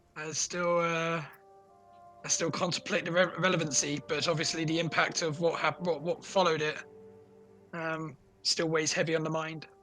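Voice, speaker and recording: Putting on a raspy character voice, a man speaks at a fairly high pitch and moderate pace in a monotone, flat intonation, with long, frequent pauses and faint music in the background. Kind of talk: theatrical, flowery speech. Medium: actual play. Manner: jovial, grandiloquent.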